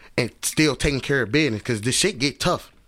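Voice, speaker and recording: Here a man at medium pitch speaks at a fairly quick pace with ordinary pitch variation. The recording is very clean, with a silent background. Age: 20s. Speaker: rapper and fatherhood movement founder. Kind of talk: casual interview chat. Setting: studio. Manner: halting.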